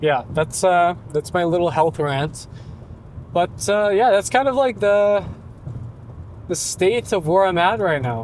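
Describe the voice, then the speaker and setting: A man's high voice with lively intonation and long, frequent pauses. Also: fairly slow pace. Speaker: vlogger. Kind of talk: casual monologue while driving. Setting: in a car. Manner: halting, many fillers and stutters.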